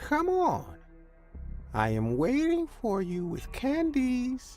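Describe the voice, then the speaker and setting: A put-on character voice speaks at a high pitch and a very slow pace. Clear music plays in the background. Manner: mellow.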